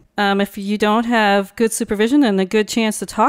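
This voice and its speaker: The sound is dry and close with no echo. A woman with a normal speaking voice and a fairly high pitch talks at a fairly quick pace. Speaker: art therapist. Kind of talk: casual interview.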